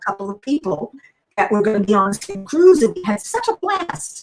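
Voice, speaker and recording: This woman has an unremarkable speaking voice pitched fairly high. She talks at a fairly quick pace with lively intonation. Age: 60s. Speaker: crafting channel host. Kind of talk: casual chat. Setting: livestream.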